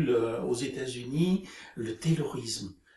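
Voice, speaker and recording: Someone talks at a very slow pace with ordinary pitch variation over noticeable background noise. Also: man. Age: 70s. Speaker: retiree, group dynamics practitioner. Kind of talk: interview. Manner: halting, many hesitations.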